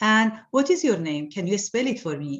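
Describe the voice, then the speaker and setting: A woman with a strong Iranian accent speaks with very wide pitch swings. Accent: Iranian accent, heavy. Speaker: artist. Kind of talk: interview. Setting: video call. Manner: halting.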